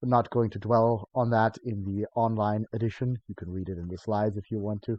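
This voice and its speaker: Speaking fairly quickly with a German accent, a man keeps a monotone, flat intonation. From Germany. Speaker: college lecturer. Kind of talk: recorded course introduction lecture. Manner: hesitant, many filler sounds; light, humorous.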